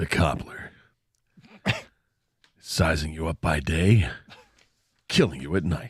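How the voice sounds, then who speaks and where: A man's put-on character voice, very deep and low in pitch, at a fairly slow pace with long, frequent pauses. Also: ordinary pitch variation. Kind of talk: promotional. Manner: dramatic voiceover.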